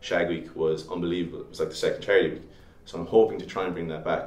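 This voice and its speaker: A man with a Limerick accent, with audible room echo. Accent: Irish (Limerick). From Ireland, Limerick. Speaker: student election candidate. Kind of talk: interview. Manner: halting, many fillers.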